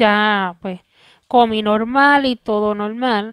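A woman with a Puerto Rican accent speaks very slowly at a fairly high pitch, with a quiet background and a dry sound that has no echo. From Puerto Rico. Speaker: video creator. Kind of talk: personal vlog testimony. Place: home room. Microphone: headset.

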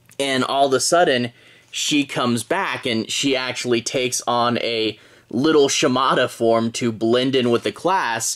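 The speech moves at a fairly slow pace. The background is quiet. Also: man. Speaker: comic book reviewer. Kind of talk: casual review commentary. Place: home room.

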